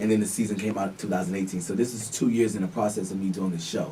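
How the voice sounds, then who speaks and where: Over noticeable background noise, a man with a slight New York accent speaks at a fairly low pitch with fairly even intonation. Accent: picked up some New York. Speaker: reality TV cast member and R&B pop artist. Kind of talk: radio interview.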